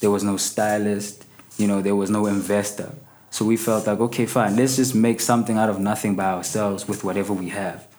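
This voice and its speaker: A man speaks at a fairly quick pace with a fairly low pitch. His intonation is monotone and flat. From South Africa, Soweto. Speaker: rapper. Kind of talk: casual interview. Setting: studio.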